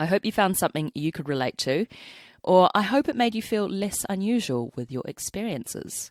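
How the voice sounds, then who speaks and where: Speaking at a moderate pace with a New Zealand accent and very wide pitch swings, a woman comes through a very clean recording with a silent background and a dry, close sound with no echo. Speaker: podcast host and cellist. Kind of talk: scripted podcast outro; reading listener story aloud.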